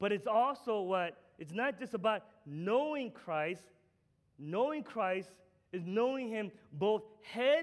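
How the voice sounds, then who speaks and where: High in pitch, a man speaks at a very slow pace with lively intonation and long, frequent pauses. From Korea. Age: 40s. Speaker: pastor. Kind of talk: sermon. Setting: church.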